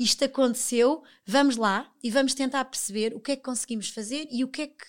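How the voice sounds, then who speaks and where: On a very clean recording with a silent background, a woman talks at a fairly quick pace in a high pitch. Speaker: television professional. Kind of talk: casual interview chat.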